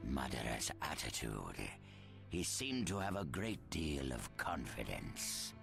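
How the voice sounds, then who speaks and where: A put-on character voice moves at a fairly slow pace with very even loudness. Loud music plays in the background. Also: man. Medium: video game. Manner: wary, deliberate.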